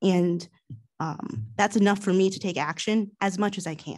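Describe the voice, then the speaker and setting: The background is quiet while a woman talks. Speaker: township commissioner. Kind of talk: public meeting remarks. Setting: township meeting room, livestreamed. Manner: soft-spoken; hesitant, many fillers. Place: meeting room. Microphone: podium.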